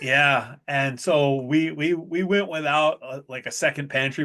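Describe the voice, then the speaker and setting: A man talks loudly in a bright, sharp tone. His pitch is fairly high, with ordinary variation. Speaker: chef. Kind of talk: casual chat.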